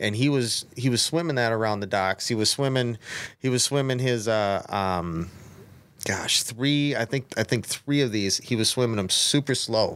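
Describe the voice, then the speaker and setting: A man speaks in a plain, everyday voice with an American accent and medium pitch. His pace is moderate, his loudness very even, and his pitch varies in an ordinary way. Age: 30s. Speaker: bass angler. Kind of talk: casual chat.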